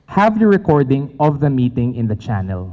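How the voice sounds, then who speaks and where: A man with a Filipino accent speaks in a somewhat breathy voice with a dark, mellow tone. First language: Tagalog. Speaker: tech company presenter. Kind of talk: conference presentation. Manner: fast.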